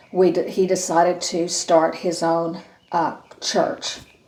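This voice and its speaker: A woman at a medium pitch talks over noticeable background noise. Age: 60s. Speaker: retired teacher. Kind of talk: interview testimony. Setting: video interview. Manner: halting.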